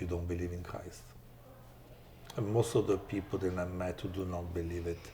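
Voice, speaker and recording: A man speaks in an Italian accent at a very deep, low pitch. His voice is somewhat breathy, and his pace is moderate. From Italy. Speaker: chef and philanthropist. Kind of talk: interview.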